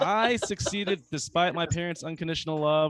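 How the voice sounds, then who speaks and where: Speaking at a fairly quick pace, a man with an American accent has a fairly high voice. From US South, North Carolina. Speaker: comedian. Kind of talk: stand-up. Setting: open mic stage with audience. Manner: halting, many fillers.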